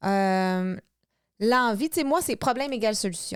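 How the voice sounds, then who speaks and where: The speaker has an animated tone with ordinary pitch variation. The recording is very clean with a silent background. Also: woman. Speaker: podcast co-host, couple coach. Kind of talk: casual chat.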